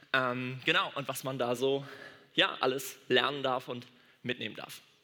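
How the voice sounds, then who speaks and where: With audible room echo, a man of medium pitch talks at a fairly slow pace in an animated, bright, sharp tone. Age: 20s. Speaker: doctor and church speaker. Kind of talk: sermon.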